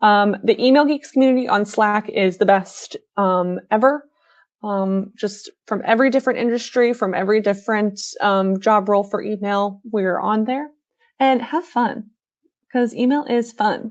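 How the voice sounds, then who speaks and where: Fairly high female speech with ordinary pitch variation. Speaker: email marketing expert. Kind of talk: live webinar Q&A. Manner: fast; hesitant, many fillers.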